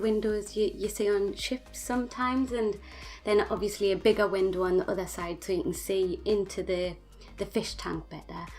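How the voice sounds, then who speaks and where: The speaker talks at a moderate pace in a Geordie accent, with ordinary pitch variation. Music plays in the background. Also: woman. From northern England, Newcastle (Geordie). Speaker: gaming YouTuber. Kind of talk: voice-over tutorial. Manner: halting, many fillers.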